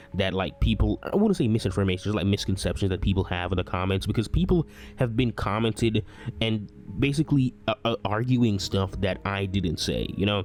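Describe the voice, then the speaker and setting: A man speaks at a fairly quick pace over music in the background. His pitch is fairly low, with ordinary variation. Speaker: anime commentary youtuber. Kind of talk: unscripted video commentary. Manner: halting, repetitive.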